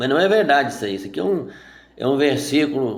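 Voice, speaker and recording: At a moderate pace and medium pitch, a man talks with audible room echo around him. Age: 60s. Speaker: Bible teacher. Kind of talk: sermon. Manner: informal.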